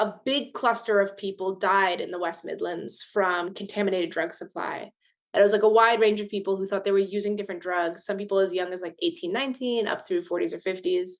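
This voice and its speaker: A plain, everyday voice in an American accent, fairly quick, with ordinary pitch variation against a quiet background. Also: woman, medium pitch for a woman. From US, Baltimore. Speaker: harm reduction organizer. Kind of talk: podcast interview.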